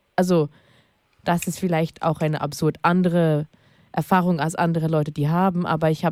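On a very clean recording with a silent background, a woman's fairly low voice carries a dark, mellow tone and fairly even intonation. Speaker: guest on queer radio show. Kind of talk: casual chat.

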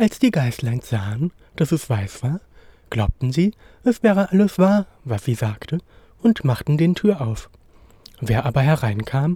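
Speaking at a fairly slow pace, a man with a fairly high pitch and a dark, mellow tone sounds somewhat breathy, his pitch swinging very widely in a dry, close recording with no echo. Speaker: storyteller reading a fairy tale. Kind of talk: bedtime story, scripted fairy-tale reading aloud.

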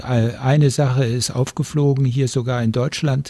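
Man's somewhat breathy voice, medium in pitch, dark and mellow in tone, with fairly even intonation. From Germany. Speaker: retired sociologist. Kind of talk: studio interview. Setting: radio studio.

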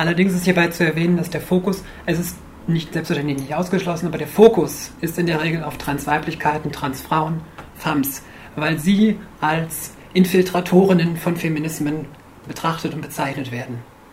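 A woman's fairly low voice, fairly even in intonation, at a moderate pace, with audible room echo and noticeable background noise. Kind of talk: lecture. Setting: stage with audience. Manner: quiet, may get quieter.

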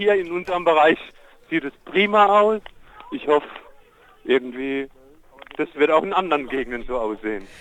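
Noticeable background noise beneath a man speaking at a fairly high pitch. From Germany, Palatinate. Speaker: protest participant. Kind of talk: live phone report. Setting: outdoors on a street at a protest, phone call.

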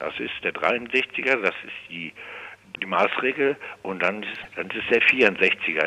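Noticeable background noise runs through this clip. The speaker is a man. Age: 60s. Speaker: forensic psychiatric detainee. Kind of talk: phone interview. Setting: phone call. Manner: halting.

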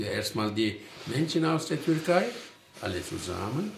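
A man speaks fairly slowly with lively intonation, with audible room echo and noticeable background noise around him. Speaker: studio guest. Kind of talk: panel discussion. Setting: studio.

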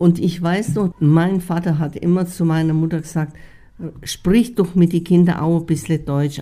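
A woman is speaking. Her tone is dark and mellow. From Bohemia, Czechoslovakia (Sudetenland). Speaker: expellee eyewitness. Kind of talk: interview testimony. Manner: halting, with fillers.

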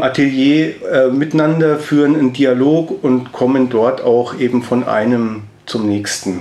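Speaking at a very slow pace, a man with a fairly high pitch and ordinary pitch variation is heard over noticeable background noise. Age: 40s. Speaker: sculptor and artist. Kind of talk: interview. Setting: studio.

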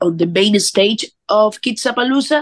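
Speaking at a fairly slow pace, a woman has a normal speaking voice. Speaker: band member, musician. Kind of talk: casual interview.

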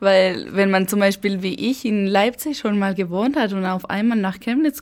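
A woman with a Spanish accent, speaking at a very slow pace with ordinary pitch variation. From Spain, Basque Country (Eibar, San Sebastian). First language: Spanish (speaking German). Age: 20s. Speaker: university student. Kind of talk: interview.

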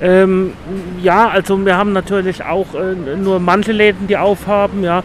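A man talks at a moderate pace in a high, monotone, flat voice. Noticeable background noise runs underneath. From Mannheim, Germany. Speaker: passer-by. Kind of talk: street interview. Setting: outdoors in town.

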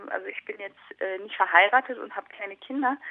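A woman speaking at a fairly slow pace. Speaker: documentary filmmaker. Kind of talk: interview.

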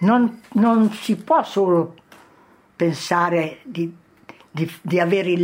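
A woman at a fairly low pitch, very slow in pace, with ordinary pitch variation. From Italy, Correggio. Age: 80s+. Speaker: former partisan. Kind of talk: testimony.

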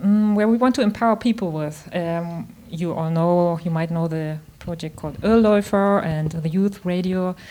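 A dark, mellow voice speaks at a fairly slow pace with a German accent. The recording is very clean, with a silent background. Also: woman. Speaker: radio host. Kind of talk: radio interview. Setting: radio station project room.

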